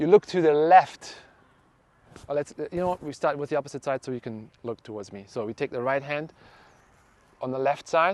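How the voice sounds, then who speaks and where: A man with a German accent speaks at a fairly quick pace and fairly high pitch, with ordinary variation. Long, frequent pauses break it up, and the sound is dry and close with no echo. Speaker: fascia trainer. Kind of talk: guided exercise class. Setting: class with one participant. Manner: halting.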